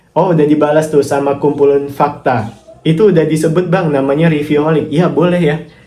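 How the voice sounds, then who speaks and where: At a fairly quick pace, a man with a fairly high pitch speaks with fairly even intonation and very even loudness, with audible room echo. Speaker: affiliate marketer and YouTuber. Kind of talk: casual vlog answering viewer comments.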